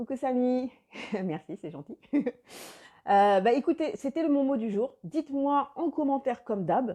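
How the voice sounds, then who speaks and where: A woman with a dark, mellow tone and a high pitch, her voice swinging very widely up and down. She talks at a fairly slow pace with long, frequent pauses over a quiet background. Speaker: life coach. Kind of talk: live video chat with viewers.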